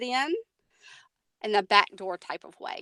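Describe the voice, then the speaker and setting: In a Southern US accent, a woman talks at a moderate pace with a bright, sharp tone, the sound dry and close with no echo. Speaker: technology coach. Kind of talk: webinar presentation. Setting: online webinar.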